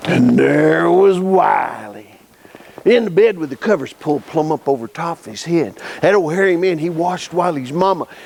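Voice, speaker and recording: Over noticeable background noise, a man speaks at a moderate pace with high pitch. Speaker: storyteller. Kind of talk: folk tale telling. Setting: live audience at a camp.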